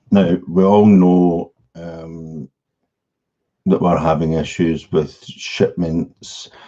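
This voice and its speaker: Very slow speech with a monotone, flat intonation fills the clip. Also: man. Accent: Scottish. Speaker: e-commerce coach. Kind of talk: live stream presentation. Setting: live stream.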